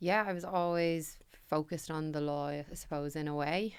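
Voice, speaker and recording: Someone with a Dublin accent talks at a moderate pace on a very clean recording with a silent background. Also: woman. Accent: Dublin Irish. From Ireland, Dublin (Ballybrack). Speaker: company managing director. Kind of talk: podcast interview. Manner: loud.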